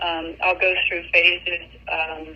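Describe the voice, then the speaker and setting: Noticeable background noise sits under this recording. The woman speaking has a fairly low pitch. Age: 60s. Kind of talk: interview. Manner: halting.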